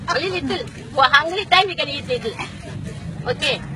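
A woman talks at a fairly quick pace with a high pitch. The sound is dry with no echo, though there is noticeable background noise. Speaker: flood victim, domestic worker. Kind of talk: street interview answer. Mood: animated, grateful, pleading. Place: street. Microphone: phone near.

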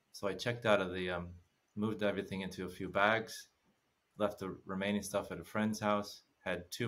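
A man with an American accent, his fairly low pitch carried in monotone, flat intonation. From United States. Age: 50s. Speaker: former massage therapist, travel guest. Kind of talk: casual chat. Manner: laughs often. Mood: calm, reflective storytelling. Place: home room. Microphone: earbuds.

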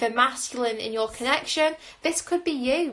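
A woman talks at a moderate pace in a high pitch. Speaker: tarot reader. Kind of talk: casual reading commentary. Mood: warm, reflective. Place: home room. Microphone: phone near.

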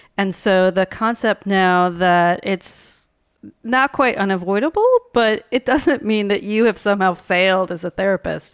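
Speaking at a fairly slow pace, a woman with medium pitch and ordinary pitch variation has an ordinary speaking voice, heard dry and close with no echo on a very clean recording with a silent background. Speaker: art therapist. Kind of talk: casual interview.

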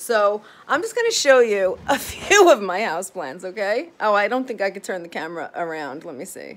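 Spoken at a moderate pace with hardly any pauses, the voice shows big swings in loudness and very wide pitch swings. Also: woman. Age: 40s. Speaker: psychotherapist and vlogger. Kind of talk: casual vlog monologue. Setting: home office, filmed video. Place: home room. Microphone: phone near.

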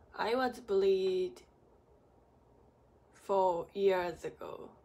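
A woman with a non-native accent speaks at a medium pitch with ordinary pitch variation and a dark, mellow tone. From Japan. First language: Japanese. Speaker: acupuncturist, medical massage therapist. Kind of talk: casual talk to camera. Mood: serious, subdued. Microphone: phone near.

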